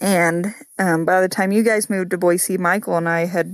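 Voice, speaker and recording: The recording is very clean, with a silent background and a dry, close sound with no echo. A woman with a fairly low pitch and ordinary pitch variation speaks in a plain, everyday voice. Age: 30s. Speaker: family member guest, cousin of host. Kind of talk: casual chat.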